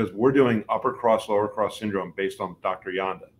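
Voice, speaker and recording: A man with an unremarkable speaking voice talks at a fairly quick pace, his pitch fairly low with ordinary variation. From New Jersey. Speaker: chiropractor. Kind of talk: interview.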